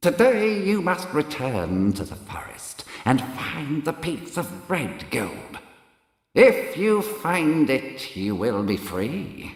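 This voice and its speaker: Doing a put-on character voice with a fairly high pitch, a man speaks at a very slow pace with very wide pitch swings, and a clear echo surrounds him. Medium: read story. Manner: harsh, menacing.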